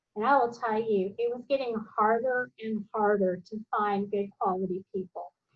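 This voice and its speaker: A woman's fairly high voice with fairly even intonation over a quiet background. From US South. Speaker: professor. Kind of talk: online class meeting. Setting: video call. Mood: warm, encouraging. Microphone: video call.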